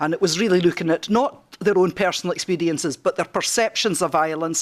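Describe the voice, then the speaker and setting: In a strong Scottish accent, the speaker moves at a fairly quick pace with ordinary pitch variation, and the sound is dry and close with no echo. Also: woman, fairly low pitch for a woman. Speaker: project researcher. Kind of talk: conference presentation.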